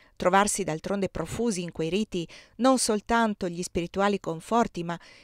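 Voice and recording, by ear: The passage is read aloud in a natural voice, its pitch varying in an ordinary way.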